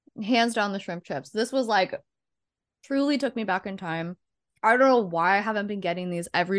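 A woman with a plain, everyday voice talks at a fairly quick pace. Her pitch sits in the medium range and her intonation is lively. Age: 20s. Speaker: podcast co-host. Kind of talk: casual chat.

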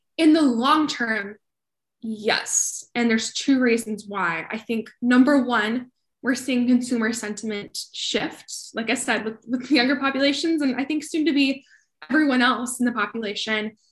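A woman with an American accent and a high voice, at a moderate pace with ordinary pitch variation. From Colorado, US. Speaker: sustainability professional. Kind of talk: interview.

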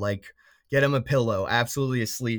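With an American accent, a man talks at a fairly quick pace in a normal speaking voice with lively intonation. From South Florida, then St. Louis area from age 12. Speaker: college hockey player. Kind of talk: casual interview chat.

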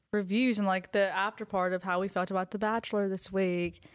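A woman speaks at medium pitch in a Southern US accent, her intonation monotone and flat. The recording is very clean, with a silent background. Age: young. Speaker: aspiring podcaster. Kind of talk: casual chat.

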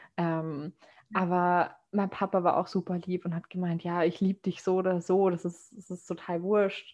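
This woman speaks at a fairly slow pace with hardly any pauses. Her fairly low voice stays monotone and flat. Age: 20s. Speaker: podcast host, master's student. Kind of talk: casual chat.

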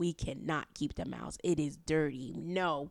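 A woman with a New York accent speaks at a fairly slow pace. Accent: New York City. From Harlem, New York City. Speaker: podcast guest. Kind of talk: casual chat.

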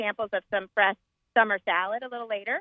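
Using a plain, everyday voice, a woman talks at a moderate pace with fairly even intonation. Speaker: market organizer. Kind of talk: promotional interview. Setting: outdoors at market.

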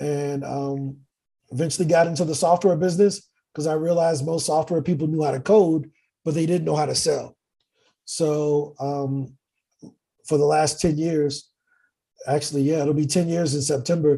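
Speaking at a moderate pace with long, frequent pauses, a man uses a fairly high, somewhat breathy voice with a dark, mellow tone and monotone, flat intonation. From US Midwest, East St. Louis, Illinois. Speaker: sales and wealth entrepreneur. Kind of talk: casual interview.

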